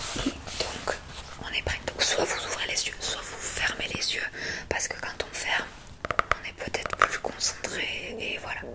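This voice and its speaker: A woman whispers at a fairly slow pace with long, frequent pauses. Background noise is noticeable. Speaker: ASMR creator doing a doctor role-play. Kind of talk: ASMR role-play, soft spoken to the listener. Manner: soft-spoken, calm, slow.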